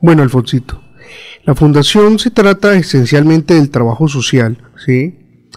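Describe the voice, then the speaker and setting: With a normal speaking voice, a man talks at a fairly slow pace, fairly high in pitch, with lively intonation and very even loudness. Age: young. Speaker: foundation director. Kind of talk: interview.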